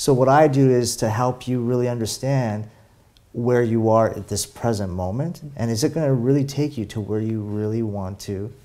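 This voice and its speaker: A man's voice carries a dark, mellow tone with ordinary pitch variation. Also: moderate pace. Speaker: interview guest, spiritual coach. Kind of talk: interview answer. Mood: warm, reflective. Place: home room. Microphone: lapel.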